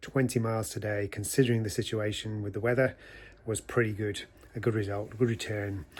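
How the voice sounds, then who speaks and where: At a fairly quick pace, a man speaks in a somewhat breathy voice with a medium pitch and fairly even intonation. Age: 60s. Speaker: long-distance walker vlogger. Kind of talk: casual video diary. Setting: outdoors.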